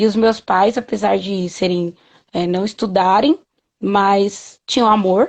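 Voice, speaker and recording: With ordinary pitch variation, it's a plain, everyday voice. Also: woman. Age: 30s. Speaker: patient advocate and mother. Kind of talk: interview.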